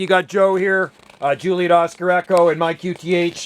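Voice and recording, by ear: The man's voice sits at a high pitch. His intonation is fairly even.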